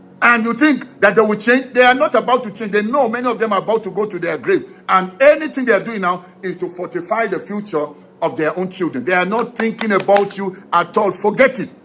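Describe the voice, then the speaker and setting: Over noticeable background noise, a man with a high pitch talks at a fairly quick pace with hardly any pauses and ordinary pitch variation. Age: 60s. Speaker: political commentator. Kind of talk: political commentary monologue. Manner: animated.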